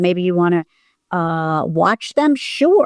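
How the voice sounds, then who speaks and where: A woman at a very slow pace with very wide pitch swings, in a very clean recording with a silent background. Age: 60s. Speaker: acting teacher and coach sharing hoarding recovery. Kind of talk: interview.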